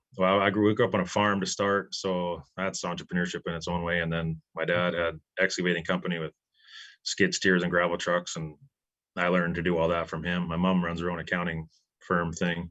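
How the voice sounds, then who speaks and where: Over a quiet background, a man with a Canadian accent talks at a fairly quick pace in a very deep, low pitch. His tone is bright and sharp, his intonation monotone and flat. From Alberta, Canada. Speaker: business owner. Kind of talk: casual chat.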